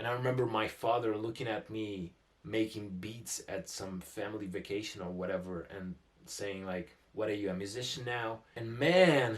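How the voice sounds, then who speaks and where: Speaking with a Russian accent, a man uses a fairly low pitch. His pace is moderate and his pitch variation ordinary. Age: 20s. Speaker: musician and producer. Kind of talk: casual vlog talk to camera.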